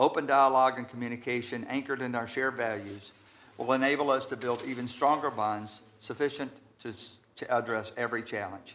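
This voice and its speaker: An ordinary speaking voice: a man with an American accent at a medium pitch. He talks at a fairly quick pace with fairly even intonation. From US South, Georgia. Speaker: attorney, ambassador nominee. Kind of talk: confirmation hearing testimony. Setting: committee hearing room. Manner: formal.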